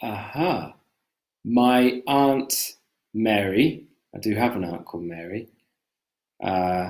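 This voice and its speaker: A man with a strong British accent, fairly low pitch, ordinary pitch variation and a very slow pace. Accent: British, thick. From Britain. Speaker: English teacher. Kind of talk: live-stream language lesson, casual chat. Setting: live stream video call.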